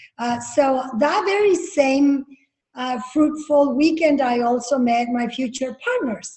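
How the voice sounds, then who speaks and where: A woman with a Spanish accent, high pitch and a very slow pace. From Jalisco, Mexico; grew up from age 12 in Napa Valley, California. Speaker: winery founder. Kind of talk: interview storytelling. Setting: video call.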